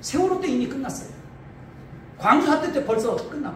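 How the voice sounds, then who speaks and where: Amid noticeable background noise and audible room echo, a man speaks in an extremely high voice with an animated tone. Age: 50s. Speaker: pastor. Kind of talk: political speech.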